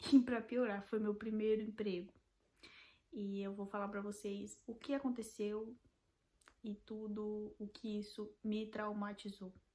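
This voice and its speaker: A woman's fairly high voice with a Brazilian accent, at a very slow pace. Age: 20s. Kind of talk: casual talk to camera.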